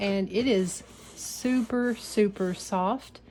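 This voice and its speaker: The speaker here is a woman. There is a somewhat breathy quality to how she sounds. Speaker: painting instructor. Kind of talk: casual tutorial talk to camera.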